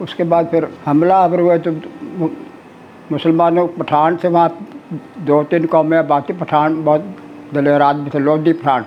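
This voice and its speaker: Noticeable background noise behind a man's fairly high-pitched voice with fairly even intonation. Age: 80s+. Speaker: Partition survivor. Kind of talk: oral history interview answer.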